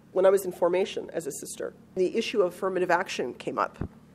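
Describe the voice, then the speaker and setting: The woman has a plain, everyday voice at medium pitch. Her intonation is lively and her pace moderate. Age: 50s. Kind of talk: interview answer.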